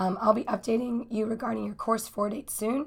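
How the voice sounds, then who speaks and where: Her voice is fairly high and somewhat breathy, and this woman keeps her intonation fairly even. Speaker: university instructor. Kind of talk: recorded course overview. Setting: recorded lecture video. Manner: casual, filler-heavy.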